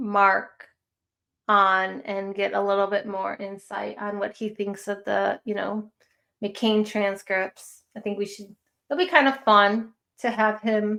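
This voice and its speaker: A woman with a Chicago accent, medium pitch, a bright, sharp tone, fairly even intonation and a very slow pace. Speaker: true crime live streamer. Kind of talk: casual live stream chat.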